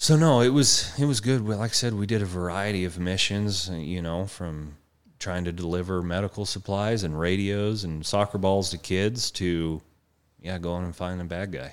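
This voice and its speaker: The speaker has an American accent. The recording is very clean with a silent background. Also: man, very deep, low pitch for a man, ordinary pitch variation, moderate pace. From Colorado. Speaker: horse trainer and army veteran. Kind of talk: interview.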